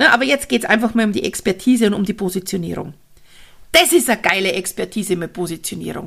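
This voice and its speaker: Talking at a very fast pace, a woman with a medium pitch uses lively intonation, an animated tone and vocal fry. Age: 40s. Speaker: network marketing coach and podcaster. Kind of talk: solo podcast monologue.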